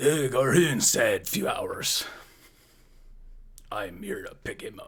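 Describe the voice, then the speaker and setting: In a raspy put-on character voice, a man talks at a fairly slow pace with big swings in loudness. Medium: actual play. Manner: laid-back, musing.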